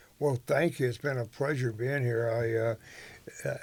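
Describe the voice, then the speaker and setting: A man's somewhat breathy, medium-pitched voice with an American accent, flat monotone intonation and a moderate pace. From northern California. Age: 80s+. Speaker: rodeo announcer and entrepreneur. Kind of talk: interview conversation.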